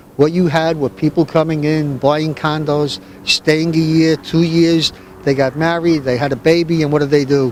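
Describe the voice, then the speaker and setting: A man with an American accent, fairly high-pitched, with fairly even intonation at a moderate pace, amid noticeable background noise. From Hoboken, New Jersey. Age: 60s. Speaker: city council candidate. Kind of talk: interview.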